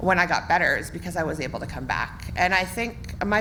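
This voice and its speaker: A woman speaks fairly quickly in a western Canadian accent. Audible room echo surrounds her voice. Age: 30s. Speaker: municipal election candidate. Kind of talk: campaign speech at candidates forum. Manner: loud.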